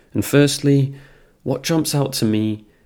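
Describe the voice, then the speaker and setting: A man with a British accent talks at a moderate pace with ordinary pitch variation. The recording is very clean, with a silent background. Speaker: podcast host. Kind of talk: poetry reading, then spoken analysis. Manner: casual, chatty.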